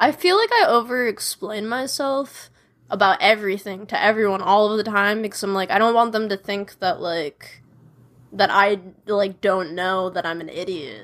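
In a very clean recording with a silent background, a woman uses a normal speaking voice at a medium pitch, with ordinary pitch variation and a moderate pace. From Chicago, US Midwest. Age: 20s. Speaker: singer-songwriter. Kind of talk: casual chat.

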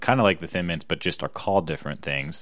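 This man has a very deep, low pitch and a bright, sharp tone, with ordinary pitch variation. He speaks with an American accent on a very clean recording with a silent background. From US Northeast, Philadelphia area. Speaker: podcast co-host. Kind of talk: casual chat. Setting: home recording.

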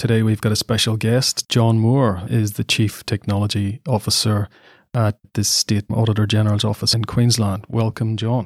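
Somewhat breathy and fairly low in pitch, a man speaks at a moderate pace with very even loudness and monotone, flat intonation, in a dry, close sound with no echo on a very clean recording with a silent background. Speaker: podcast host. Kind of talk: interview.

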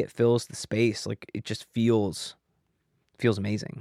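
A man with an American accent in a normal speaking voice, medium pitch, fairly even intonation, and a moderate pace, dry and close with no echo on a very clean recording with a silent background. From US Midwest, Kansas City. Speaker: music engineer and producer. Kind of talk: casual chat.

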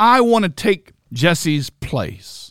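Recorded with a dry, close sound and no echo, a man speaks in an animated tone with lively intonation. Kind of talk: sermon, preacher in full flow. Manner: emphatic, rhetorical, direct appeals to the listener; animated, mimicking a boastful self-righteous voice.

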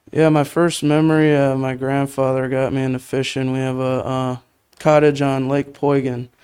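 A man speaks at a medium pitch and a moderate pace. His intonation stays monotone and flat. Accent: Wisconsin. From Wisconsin, Menasha. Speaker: college angler and camera operator. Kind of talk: casual interview.

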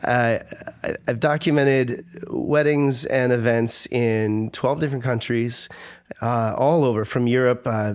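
A man with a normal speaking voice holds a medium pitch, his intonation fairly even. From Minnesota, US. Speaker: wedding photographer. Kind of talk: casual interview. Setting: studio.

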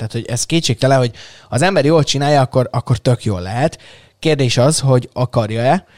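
A man with a medium pitch talks at a fairly quick pace with lively intonation. The recording is very clean and silent in the background, with a dry, close sound and no echo. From Hungary, Szeged. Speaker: tech podcast host. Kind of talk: casual chat. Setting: studio. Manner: animated.

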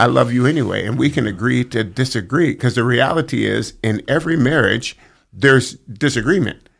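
A man speaks at a fairly quick pace with ordinary pitch variation and vocal fry. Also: medium pitch for a man. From Northern California, Sacramento area. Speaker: football team chaplain. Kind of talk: casual chat.

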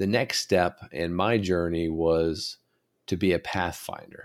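The recording is very clean and the background silent. A man talks at a very deep, low pitch. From rural West Virginia. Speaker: podcast host, leadership coach and army officer. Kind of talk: monologue podcast.

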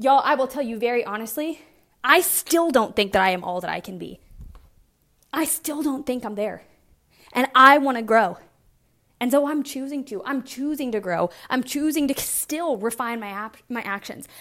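Bright, sharp tone in an American accent, animated and with lively intonation, at a moderate pace with big swings in loudness. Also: woman, high pitch for a woman. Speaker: fitness coach and podcast host. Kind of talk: casual solo monologue.

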